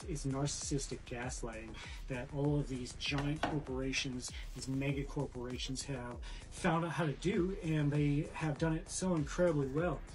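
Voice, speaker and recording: Noticeable background noise runs under the clip. A man speaks at a moderate pace. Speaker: vlogger. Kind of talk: casual vlog chat. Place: kitchen. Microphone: phone near.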